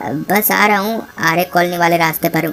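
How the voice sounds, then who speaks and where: In a put-on character voice, a woman speaks raspily at a fairly low pitch with ordinary variation and a moderate pace, over clear background noise. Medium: read story. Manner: polite, casual.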